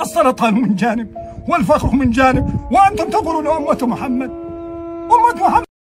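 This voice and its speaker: Music plays in the background while the man talks at a moderate pace. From Syria. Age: 60s. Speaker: displaced camp resident. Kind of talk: emotional appeal. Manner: impassioned.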